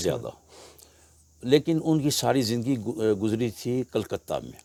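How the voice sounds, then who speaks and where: This man's medium-pitched voice has a dark, mellow tone, ordinary pitch variation and big swings in loudness, captured with a dry, close sound and no echo. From Lahore, Pakistan. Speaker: oral history guest. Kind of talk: interview answer.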